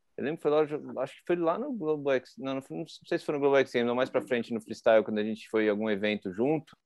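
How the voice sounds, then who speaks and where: Here a man speaks at a medium pitch with ordinary pitch variation. He has an ordinary speaking voice. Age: 30s. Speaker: podcast host and freestyle motocross rider. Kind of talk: casual chat.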